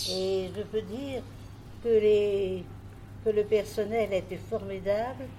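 A woman at a very slow pace, over noticeable background noise. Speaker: nursing home resident. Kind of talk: interview.

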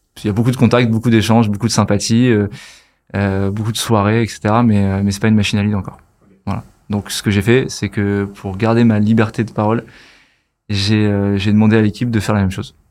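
A man with a fairly low pitch talks at a fairly quick pace in a monotone, flat intonation, with big swings in loudness. The recording is very clean, with a silent background. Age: 30s. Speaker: marketing agency founder. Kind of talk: casual chat.

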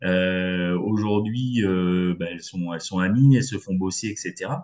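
Fairly low pitch marks this man's voice. He speaks with lively intonation. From western France, Poitou. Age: 50s. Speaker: business network founder. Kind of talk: interview. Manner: hesitant, many fillers.

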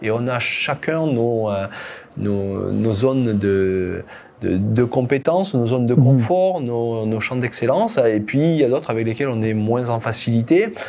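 Background noise is noticeable here. Through it, a man talks fairly slowly. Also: medium pitch for a man, ordinary pitch variation. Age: 50s. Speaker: company founder and CEO. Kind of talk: podcast interview. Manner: halting, with frequent repetitions.

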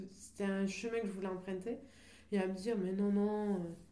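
Audible room echo and noticeable background noise surround a woman of medium pitch whose intonation stays fairly even. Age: 30s. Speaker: artist and singer. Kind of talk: radio interview.

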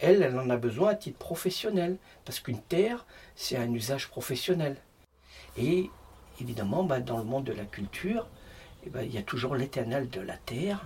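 A man with a medium-pitched voice speaks at a moderate pace, his pitch swinging very widely, with long, frequent pauses. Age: 50s. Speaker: stonemason. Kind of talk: casual interview.

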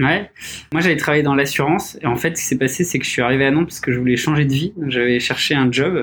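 With ordinary pitch variation, the words come at a very fast pace. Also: man, fairly high pitch for a man. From Paris region, France. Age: 30s. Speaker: startup founder. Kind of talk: casual interview. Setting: studio, in person with masks.

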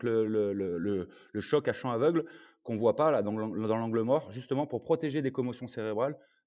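A man with an ordinary speaking voice, ordinary pitch variation and a moderate pace. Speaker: former American football player and sports consultant. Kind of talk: casual chat.

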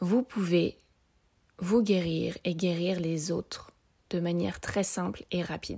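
With a dark, mellow tone and a fairly low pitch, a woman talks at a very slow pace, with ordinary pitch variation and long, frequent pauses. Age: 30s. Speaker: energy healer and podcast host. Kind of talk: solo podcast talk explaining exercises.

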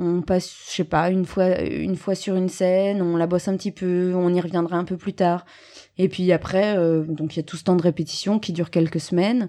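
A woman's dark, mellow tone, fairly low in pitch and monotone with flat intonation, at a moderate pace in a very clean recording with a silent background. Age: 30s. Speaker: stage actress. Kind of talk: interview.

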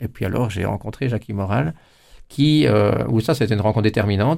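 In a very clean recording with a silent background, a man speaks very fast with vocal fry, a dark, mellow tone and ordinary pitch variation. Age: 50s. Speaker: politician. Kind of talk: interview. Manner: halting, many repetitions.

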